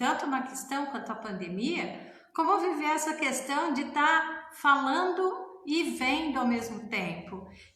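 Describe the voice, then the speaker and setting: A woman talks at a fairly slow pace in a high voice with very wide pitch swings. Audible room echo and noticeable background noise surround her. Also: hardly any pauses. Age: 60s. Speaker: family constellation therapist and author. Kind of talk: casual talk to camera. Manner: conversational.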